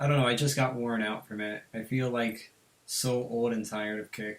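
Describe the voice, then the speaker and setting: Talking at a moderate pace, a man has an unremarkable speaking voice, a medium pitch and fairly even intonation. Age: 18. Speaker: podcast host. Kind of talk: casual chat.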